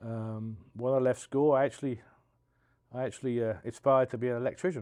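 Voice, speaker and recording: With a London accent, a man talks at a fairly quick pace in a dark, mellow tone and fairly even intonation against a quiet background. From South East London, England. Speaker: union business agent, steamfitter. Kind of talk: podcast interview. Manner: halting.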